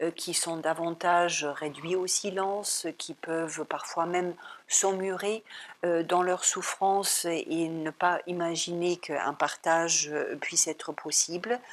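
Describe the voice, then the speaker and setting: Speaking at a very slow pace, a woman with a fairly low pitch keeps her intonation fairly even. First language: German (speaking French). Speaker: psychologist and psychoanalyst. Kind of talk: talk at an art gallery. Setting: art gallery talk. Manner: hesitant, many filler sounds.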